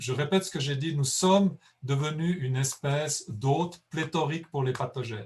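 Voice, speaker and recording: A man speaks in a fairly high pitch with ordinary pitch variation. His voice is somewhat breathy. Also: moderate pace. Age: 60s. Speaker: conservation biologist. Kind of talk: lecture Q&A. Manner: halting.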